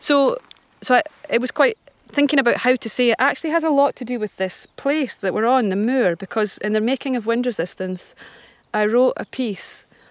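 With a Scottish accent, a woman speaks at a high pitch and a fairly quick pace. Her pitch varies in an ordinary way, and the sound is dry and close with no echo. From Scotland. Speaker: folk singer-songwriter. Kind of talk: casual interview. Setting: outdoors on a walk.

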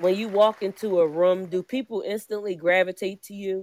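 Over crowd noise in the background, a woman with an American accent speaks at a moderate pace and medium pitch. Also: dry, close sound with no echo. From Philadelphia. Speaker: poet and entrepreneur. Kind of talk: spoken word performance.

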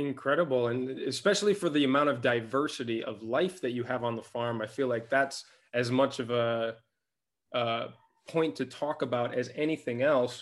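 A man speaks in an ordinary speaking voice at medium pitch. His pace is moderate and his pitch variation ordinary. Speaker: podcast host and interviewer. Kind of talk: interview, intro and outro read.

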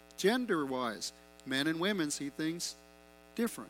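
Music plays in the background. A man speaks at a high pitch with very wide pitch swings. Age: 50s. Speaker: pastor. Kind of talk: sermon.

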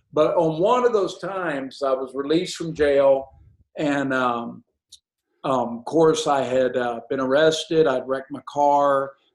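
The speaker has a Southern US accent and talks at a fairly slow pace with ordinary pitch variation. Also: man, fairly high pitch for a man. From Alabama, US South. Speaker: evangelist and ministry director. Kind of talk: testimony.

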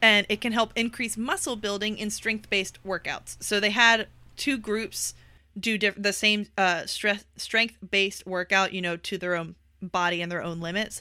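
With an American accent, a woman of medium pitch talks at a moderate pace in a bright, sharp tone. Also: fairly even intonation. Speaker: podcast co-host. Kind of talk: casual chat.

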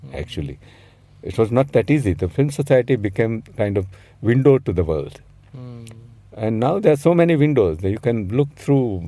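A man speaks at medium pitch and a moderate pace, with long, frequent pauses. His tone is dark and mellow, and his pitch swings very widely. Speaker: film scholar and critic. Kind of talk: interview. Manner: halting.

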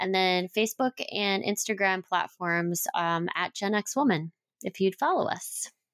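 This woman has an unremarkable speaking voice and an American accent, talking at a fairly slow pace. Her medium pitch shows ordinary variation, and the sound is dry and close with no echo. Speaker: business co-founder. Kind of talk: casual chat.

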